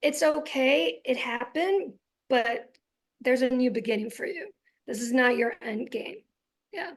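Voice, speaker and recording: A woman's high voice with very wide pitch swings, a fairly slow pace and long, frequent pauses. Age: 40s. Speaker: physician and guest speaker. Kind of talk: interview. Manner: loud.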